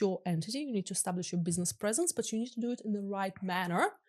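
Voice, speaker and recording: A woman speaks with a non-native accent against a quiet background. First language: not English. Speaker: crypto lawyer. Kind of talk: podcast interview.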